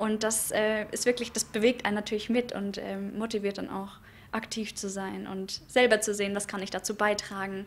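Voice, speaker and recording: A woman at a moderate pace in monotone, flat intonation. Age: young. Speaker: board member of a voters' association. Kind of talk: press interview. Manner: hesitant, many fillers. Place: hall. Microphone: handheld.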